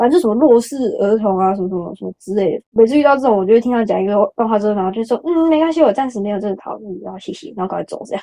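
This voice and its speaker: A woman's dark, mellow voice, fairly high in pitch, at a very fast pace with hardly any pauses, lively intonation and big swings in loudness. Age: 20s. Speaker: podcast guest. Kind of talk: casual chat.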